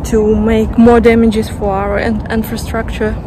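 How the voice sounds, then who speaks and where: A woman talks at a fairly slow pace. The sound is dry with no echo, though there is noticeable background noise. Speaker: vlogger. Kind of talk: casual vlog chat. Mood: thoughtful, slightly wry. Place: street. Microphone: phone near.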